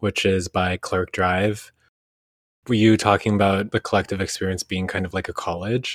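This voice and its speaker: A man speaks in a fairly low pitch with monotone, flat intonation at a moderate pace, with a dry, close sound, no echo, and a very clean recording with a silent background. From Vancouver, Canada (born in Indonesia). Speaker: podcast co-host. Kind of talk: casual interview conversation.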